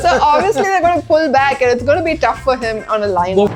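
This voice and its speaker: A woman with a high voice speaks at a fairly quick pace with very wide pitch swings as music plays in the background. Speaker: stand-up comedian. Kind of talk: interview answer.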